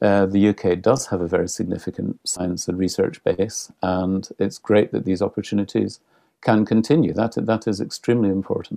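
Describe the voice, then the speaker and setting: In a Scottish accent, a man speaks at a moderate pace with fairly even intonation and a dark, mellow tone, the sound dry and close with no echo. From Scotland. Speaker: cultural relations consultant. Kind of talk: podcast interview.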